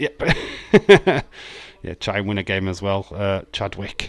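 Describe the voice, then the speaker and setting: This man has a fairly low pitch. He speaks with a Yorkshire accent. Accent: broad Yorkshire. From Yorkshire, England. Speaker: streamer reading live chat. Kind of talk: informal, profane. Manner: casual, sweary, chatty.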